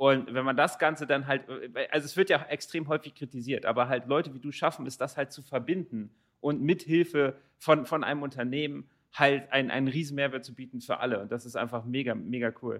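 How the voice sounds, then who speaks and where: Over a quiet background, a man with an unremarkable speaking voice talks at a fairly quick pace, his pitch fairly high with ordinary variation. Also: big swings in loudness. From Germany, Rothenburg area. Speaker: podcast host. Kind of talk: interview.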